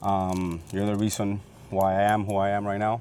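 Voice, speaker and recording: A man with a fairly low pitch speaks in a dark, mellow tone and a flat, monotone delivery. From Cuba, raised in Miami from age 13. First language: Spanish. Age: 30s. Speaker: business owner. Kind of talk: casual interview. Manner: halting, many fillers.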